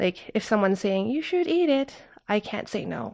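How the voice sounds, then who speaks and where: A woman with a Canadian accent speaks at a moderate pace. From Canada. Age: 30s. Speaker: traveler. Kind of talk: casual chat.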